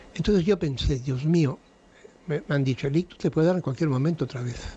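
A man's dark, mellow, somewhat breathy voice with ordinary pitch variation at a moderate pace. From Spain, raised abroad as diplomat's son (USA, Belgium). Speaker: painter and TV personality. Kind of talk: late-night radio interview.

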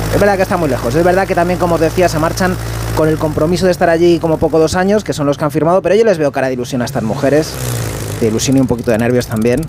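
Very fast talk from a man at a fairly high pitch, ordinary pitch variation, and noticeable background noise. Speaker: radio reporter. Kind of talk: scripted comedic report. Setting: airport runway.

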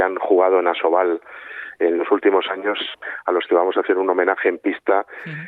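Male speech at a moderate pace with a very deep, low pitch. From northern Spain, Santander (Cantabria). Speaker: sports league executive. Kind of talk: radio interview. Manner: halting, many repetitions and fillers.

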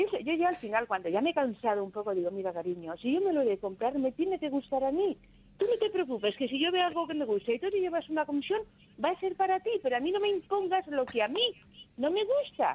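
Speaking very fast, a woman's high-pitched voice makes very wide pitch swings. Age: 60s. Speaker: caller. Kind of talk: phone-in call.

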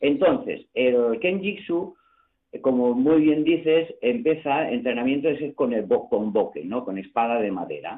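Swinging very widely in pitch, a man speaks fairly slowly in a fairly high voice. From Barcelona. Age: 60s. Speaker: karate coach. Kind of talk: radio interview.

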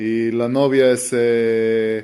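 Using little pitch movement, a man talks at a very slow pace with a medium pitch and a dark, mellow tone.

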